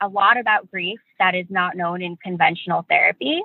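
This woman uses a normal speaking voice, talking at a moderate pace with ordinary pitch variation. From New York. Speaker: medical student and grief educator. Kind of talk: interview.

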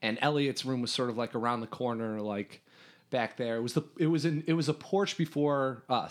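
Against a quiet background, a man with an American accent and an ordinary speaking voice talks at a fairly quick pace, with a medium pitch and ordinary pitch variation. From US Midwest, Chicago north suburbs. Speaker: former camper and camp staff. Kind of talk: casual interview chat.

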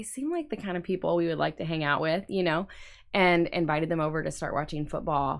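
A woman with an American accent, an unremarkable speaking voice, fairly low pitch, a fairly quick pace, ordinary pitch variation, and a very clean recording with a silent background. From Indiana. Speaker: campus pastor. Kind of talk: casual interview. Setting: studio.

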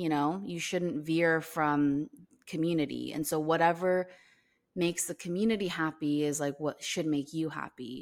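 A woman speaks at a moderate pace with a fairly low pitch, a normal speaking voice and ordinary pitch variation. The recording is very clean, with a silent background. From US, Korean American. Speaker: podcast co-host. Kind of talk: casual chat.

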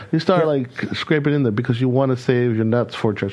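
A man speaking with an American accent keeps a fairly quick pace amid noticeable background noise. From California, US. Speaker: podcast co-host. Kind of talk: casual chat.

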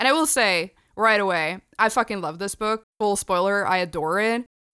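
Her bright, sharp voice sits at a medium pitch with ordinary variation as the woman talks at a moderate pace in a very clean, dry, close recording with a silent background and no echo. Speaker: podcast co-host and comics critic. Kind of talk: casual podcast discussion of a comic.

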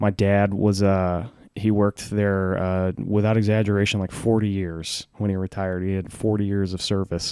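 A man with a Texan accent speaks at a moderate pace in a fairly low pitch, with a dark, mellow tone and monotone, flat intonation. The very clean recording has a silent background and a dry, close sound with no echo. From Huntsville, Texas. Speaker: comedian. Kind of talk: storytelling.

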